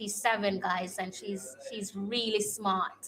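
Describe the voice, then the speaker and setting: Very slowly, a woman with a strong Jamaican accent speaks in a bright, sharp, medium-pitched voice with fairly even intonation. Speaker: football fan streamer. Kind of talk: casual live-stream watch-along chat. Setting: home live stream. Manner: frequent hesitations with um.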